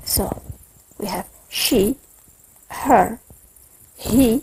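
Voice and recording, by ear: Speaking at a very slow pace, a woman with a fairly high pitch has a husky, rough edge, vocal fry and ordinary pitch variation. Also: slightly mellow tone.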